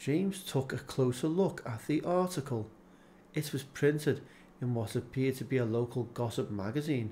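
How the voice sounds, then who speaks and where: Calm in tone, a man speaks at a moderate pace and medium pitch, his voice dark, mellow and somewhat breathy, with lively intonation. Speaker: audiobook narrator. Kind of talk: audiobook narration. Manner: calm narrative delivery.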